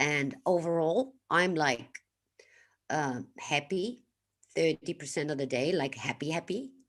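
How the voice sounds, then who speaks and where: A woman speaks at a fairly slow pace in a very deep, low voice. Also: lively intonation. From Netherlands. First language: Dutch. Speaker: livestreamer and healing coach. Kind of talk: live stream talk to chat. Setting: live stream. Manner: casual, with many fillers.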